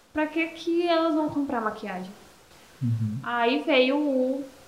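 A woman talks in a high-pitched voice. Audible room echo and noticeable background noise fill the recording. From Brazil, Paraíba (Esperança). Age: 20s. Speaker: entrepreneur, makeup shop owner. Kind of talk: casual interview.

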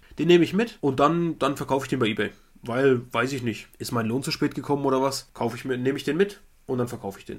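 This man talks very fast. His voice sits at a medium pitch and shows ordinary pitch variation. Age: 30s. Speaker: podcast co-host, trading card collector. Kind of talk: casual chat.

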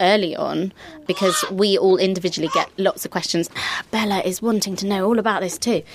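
A woman with a medium-pitched voice speaks fairly quickly and with fairly even intonation against noticeable background noise. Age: 30s. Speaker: podcast host. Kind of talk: casual chat.

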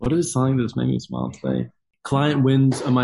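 A man's medium-pitched voice, somewhat breathy, with a dark, mellow tone and an Australian accent. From Australia, Gold Coast. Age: 20s. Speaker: movement coach. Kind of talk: casual chat.

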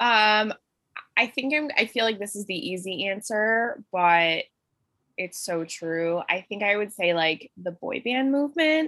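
Lively intonation at a fairly slow pace, with an American accent. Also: woman, fairly high pitch for a woman. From Buffalo, Western New York. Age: 20s. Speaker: home baker and career coach. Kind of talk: casual chat.

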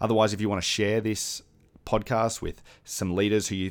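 On a very clean recording with a silent background, a man with an Australian accent speaks at a moderate pace with fairly even intonation. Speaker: podcast host for church leaders. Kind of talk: podcast intro/outro; interview.

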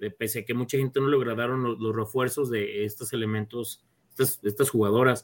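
A man with a medium pitch speaks at a moderate pace in a plain, everyday voice. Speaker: football podcast co-host. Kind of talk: casual sports chat.

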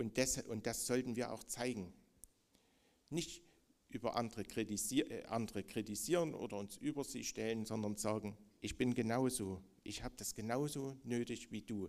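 This man has a normal speaking voice with a medium pitch and ordinary pitch variation. He speaks at a moderate pace. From East Germany. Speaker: preacher. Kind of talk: sermon.

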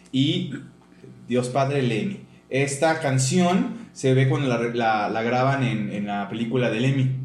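Over noticeable background noise and audible room echo, a man talks at a very slow pace. His pitch is medium, with ordinary variation. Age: 50s. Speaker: podcast co-host. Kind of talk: casual chat.

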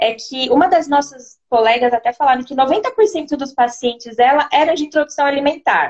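At a moderate pace, a woman talks in a high voice with ordinary pitch variation. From São Paulo, Brazil. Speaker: nutritionist. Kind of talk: live video interview.

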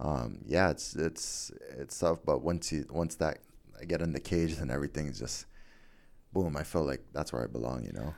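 With vocal fry, a man talks at a very deep, low pitch and a moderate pace, showing ordinary pitch variation. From Guam. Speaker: MMA fighter. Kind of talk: casual interview. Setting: studio.

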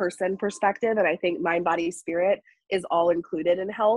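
A woman with an American accent and a plain, everyday voice talks at medium pitch and a fairly quick pace, with ordinary pitch variation. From US South, North Carolina. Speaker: wellness coach. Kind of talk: casual chat. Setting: studio.

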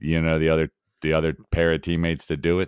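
A man speaks at a very deep, low pitch in a very clean recording with a silent background. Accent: American. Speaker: fantasy football podcast host. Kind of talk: casual sports analysis chat.

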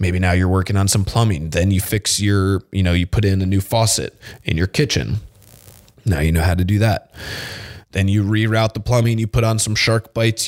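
Recorded with a dry, close sound and no echo, a man speaks at a fairly low pitch with ordinary pitch variation and very even loudness. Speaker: fitness podcast host. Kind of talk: solo podcast monologue. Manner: casual, conversational.

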